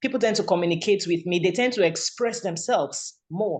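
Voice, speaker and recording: Fairly quick speech in a Nigerian accent. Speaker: radio presenter. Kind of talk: testimony. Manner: halting.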